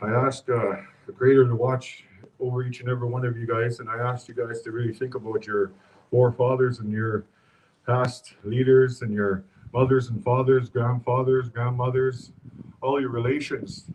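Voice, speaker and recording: A man speaks in a somewhat breathy voice at a medium pitch. His intonation is flat and monotone, and his pace is moderate. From Fort Chipewyan, northern Alberta, Canada. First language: Cree. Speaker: community speaker at vigil. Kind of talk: public speech at memorial vigil.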